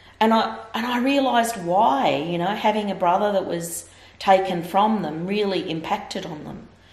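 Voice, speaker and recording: Big swings in loudness and lively intonation mark a woman's speech, which carries audible room echo. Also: medium pitch for a woman, moderate pace. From Victoria, Australia. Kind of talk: interview answer. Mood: earnest, reflective. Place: home room.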